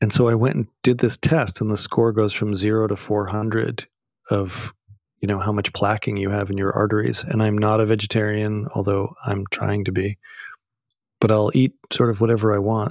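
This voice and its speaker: A man with an American accent speaks in a normal speaking voice at a fairly low pitch. His intonation is fairly even, and the sound is dry and close with no echo. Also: moderate pace. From Boston, US. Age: 50s. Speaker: acupuncturist and qigong teacher. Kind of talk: interview.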